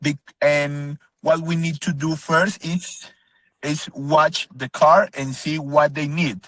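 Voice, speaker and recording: A man's fairly high voice at a very slow pace, with fairly even intonation and a dry, close sound with no echo. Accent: Spanish. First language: Spanish. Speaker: car wash owner pitching for investment. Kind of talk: business video call interview. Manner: halting, many fillers.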